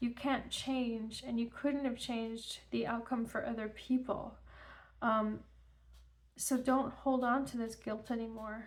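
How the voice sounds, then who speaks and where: Against audible room echo, a woman with a fairly high pitch speaks at a fairly slow pace with fairly even intonation. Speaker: tarot reader. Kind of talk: tarot reading. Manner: halting.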